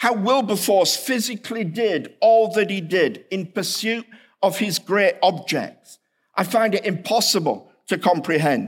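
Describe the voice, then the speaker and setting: On a very clean recording with a silent background, a man speaks at a fairly slow pace in a high voice with ordinary pitch variation. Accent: British. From England, Hull. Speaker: seminary professor, historian. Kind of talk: chapel lecture.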